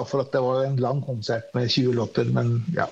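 A man at a moderate pace, his voice somewhat breathy. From Norway, moved from Iran at age six. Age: 40s. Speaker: singer-songwriter and multi-instrumentalist. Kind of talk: interview.

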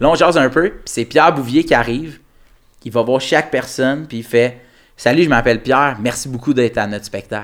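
With a plain, everyday voice, a man of medium pitch speaks at a fairly quick pace with ordinary pitch variation. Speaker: comedian. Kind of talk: casual chat.

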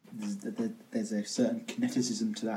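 Pitch swings very widely in this man's voice. He has a dark, mellow tone and a British accent. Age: 20s. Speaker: podcast host. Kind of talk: casual chat. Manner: animated.

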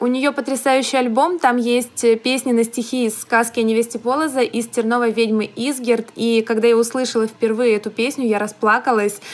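Delivered at a moderate pace with hardly any pauses, the speech keeps a monotone, flat intonation. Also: woman, fairly high pitch for a woman. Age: young. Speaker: podcast co-host, young writer. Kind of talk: casual chat.

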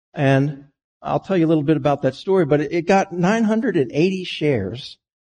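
A man talks at a moderate pace with lively intonation. His tone is dark and mellow and somewhat breathy. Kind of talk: sermon with a personal life story. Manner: reflective, storytelling; earnest, measured pace.

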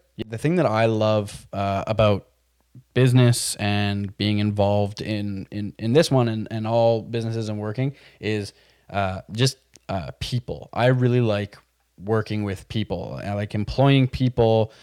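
A man with a Montreal accent talks at a fairly slow pace in a fairly low voice with ordinary pitch variation. The sound is dry and close with no echo, on a very clean recording with a silent background. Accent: Montreal English Canadian. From Quebec, Montreal West Island. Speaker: podcast co-host, business operations manager. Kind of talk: casual chat. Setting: studio with video.

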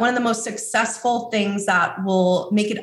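The voice is unremarkable, in an American accent. Pitch variation is ordinary. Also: woman. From New York City. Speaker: course creation agency owner. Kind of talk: interview.

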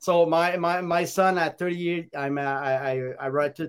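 At a fairly slow pace, a man with a fairly high pitch speaks in a clear, smooth tone with little pitch movement.

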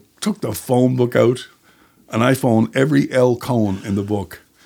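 A man speaks in a Newfoundland accent at a fairly slow pace. His medium-pitched voice is dark and mellow, with ordinary pitch variation. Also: long, frequent pauses. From Newfoundland, Canada (St. John's and Placentia Bay). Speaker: writer and screenwriter. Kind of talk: casual chat.

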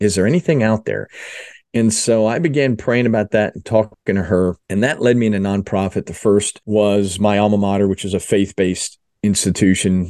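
An unremarkable speaking voice: a man with an American accent and fairly low pitch, ordinary pitch variation, a dry, close sound with no echo and a quiet background. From South Jersey (Philadelphia area). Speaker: mission organization fundraising executive. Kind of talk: interview testimony.

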